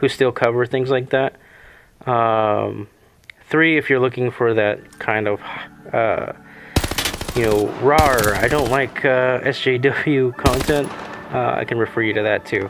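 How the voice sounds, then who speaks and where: Mumbling at a fairly slow pace, with long, frequent pauses and noticeable background noise. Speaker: gaming YouTuber. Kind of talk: casual talk to camera. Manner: mumbling, hesitant.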